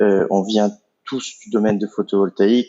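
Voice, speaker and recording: Here a man speaks at a fairly low pitch. His pace is fairly slow. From Italy. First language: Italian (speaking French). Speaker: entrepreneur, company co-founder. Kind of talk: podcast interview. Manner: hesitant, many fillers.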